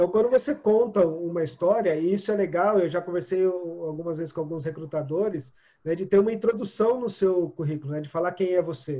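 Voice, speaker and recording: A man's dark, mellow tone at a moderate pace, with lively intonation. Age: 40s. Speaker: storytelling trainer and coach. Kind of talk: interview.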